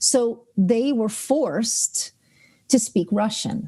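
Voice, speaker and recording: With a New York accent, a woman speaks at a fairly high pitch in a dark, mellow tone, her intonation lively against a quiet background. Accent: New York American. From New York, US, Ukrainian family. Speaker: author and translator. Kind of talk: interview conversation.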